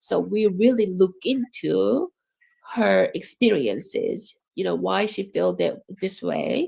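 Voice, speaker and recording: Fairly slow speech with a Korean accent. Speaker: education professor. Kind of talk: academic talk. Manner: halting, many fillers.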